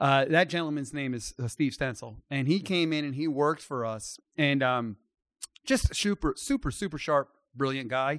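A man with a normal speaking voice and an American accent, fairly high in pitch, at a moderate pace with ordinary pitch variation, on a very clean, dry, close recording with a silent background and no echo. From US, Maryland. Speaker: company CEO. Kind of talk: casual interview.

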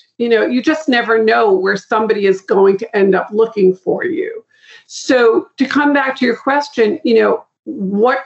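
Speaking with an American accent, a woman with a fairly high pitch and an unremarkable speaking voice moves at a moderate pace with lively intonation. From Boston. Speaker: guest, marketing and referral consultant. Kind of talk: interview conversation.

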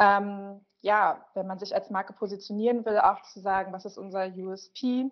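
Her loudness swings widely while she speaks fairly slowly. The woman's medium-pitched voice stays monotone, with flat intonation. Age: 30s. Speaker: social media manager. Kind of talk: interview.

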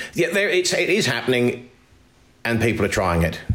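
A man with audible room echo. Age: 50s. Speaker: arable farmer. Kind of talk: interview.

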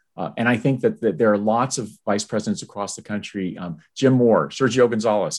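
Against a quiet background, a man talks at a fairly quick pace in an ordinary speaking voice. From US Army bases abroad, high school near Tokyo. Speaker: university fundraising executive. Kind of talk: interview conversation.

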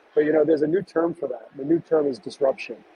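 A man with an American accent speaks at a high pitch with ordinary pitch variation over noticeable background noise. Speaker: restaurateur and author. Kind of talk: interview.

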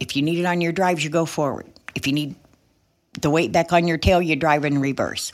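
A woman's fairly low voice on a very clean recording with a silent background. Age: 60s. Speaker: truck driver and driver trainer. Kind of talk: casual interview chat. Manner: animated.

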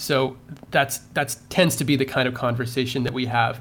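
This man talks at a fairly quick pace in a medium pitch, his intonation fairly even. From Canada. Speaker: drone company founder and CEO. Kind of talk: podcast interview.

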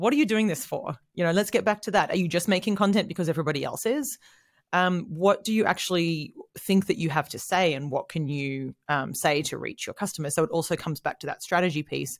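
A woman's fairly low voice, very fast, with lively intonation, on a very clean recording against a silent background. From Australia. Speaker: content marketing head. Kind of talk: casual interview.

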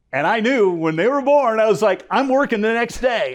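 In an American accent, a man talks against a quiet background. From US South, South Florida. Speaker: sportscaster. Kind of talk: interview. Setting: studio.

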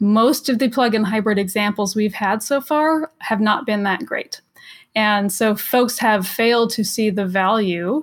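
In a plain, everyday voice with an American accent, the speaker moves at a moderate pace with ordinary pitch variation. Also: woman. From Los Angeles, US. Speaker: electric vehicle advocate. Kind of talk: casual chat.

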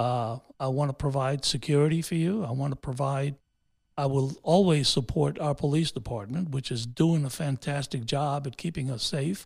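A man speaks at a moderate pace with a fairly high pitch and a somewhat breathy voice, his pitch varying in an ordinary way, on a very clean recording with a silent background. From New York City, raised by Honduran immigrants. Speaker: city councilman and mayoral candidate. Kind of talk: interview. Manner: halting, many fillers.

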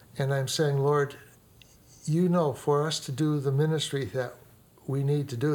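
Somewhat breathy, a man's voice carries an American accent. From US Midwest, inner-city Chicago. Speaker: pastor. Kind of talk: interview storytelling.

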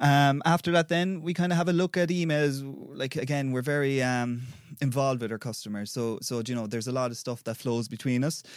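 A man speaks with an Irish accent at a fairly quick pace. His pitch varies in an ordinary way, and the recording is very clean with a silent background. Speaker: customer engagement manager. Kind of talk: interview answers, casual professional. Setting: studio.

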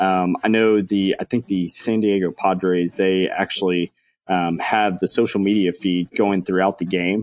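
At a moderate pace, a man speaks in a very deep, low pitch with monotone, flat intonation and very even loudness. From Texas. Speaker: baseball game entertainment manager. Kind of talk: interview. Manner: many filler words.

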